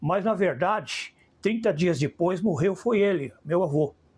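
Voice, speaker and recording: On a very clean recording with a silent background, a man speaks in a high pitch at a fairly slow pace with ordinary pitch variation. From Brazil, São Paulo. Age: 70s. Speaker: filmmaker. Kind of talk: interview.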